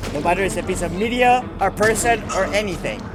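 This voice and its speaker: Music plays in the background as a man speaks at a moderate pace. His pitch is high, with ordinary variation. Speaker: gaming youtuber. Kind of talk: gameplay commentary.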